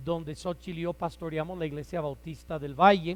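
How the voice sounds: A man speaks loudly. His pitch sits fairly high for a man.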